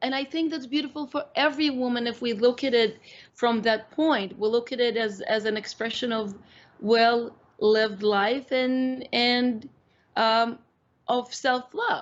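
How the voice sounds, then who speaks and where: Using a high pitch with ordinary pitch variation, a woman speaks at a fairly slow pace with a Russian accent. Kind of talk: interview. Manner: halting.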